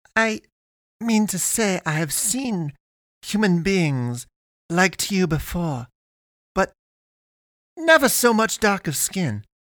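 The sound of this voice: Using a put-on character voice, a man speaks slowly in a high pitch with big pitch swings, a fairly bright tone, and long, frequent pauses. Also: dry, close sound with no echo.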